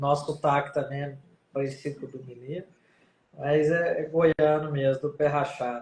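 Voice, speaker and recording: A man speaks in a Goiás accent at a moderate pace. His intonation stays monotone and flat while his loudness swings widely. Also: fairly high pitch for a man. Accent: Goiás accent, somewhat Minas-like. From Goiás, Brazil. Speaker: rheumatologist. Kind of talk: live stream interview. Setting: online live stream.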